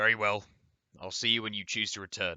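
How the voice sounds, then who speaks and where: A man does a raspy put-on character voice at a fairly quick pace. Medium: read story. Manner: stiff, formal.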